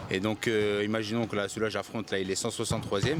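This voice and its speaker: At a fairly quick pace, a man speaks in an ordinary speaking voice, fairly low in pitch, with fairly even intonation. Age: 20s. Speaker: professional boxer. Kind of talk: interview.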